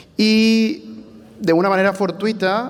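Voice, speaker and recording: Over noticeable background noise, a man talks with a Venezuelan accent. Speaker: church planter, bivocational pastor. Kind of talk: panel testimony.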